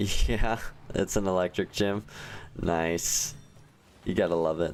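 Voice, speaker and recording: A man with a very deep, low pitch speaks in a relaxed tone at a very slow pace. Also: ordinary pitch variation. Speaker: gaming livestreamer. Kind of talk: casual live stream chat. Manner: casual, relaxed.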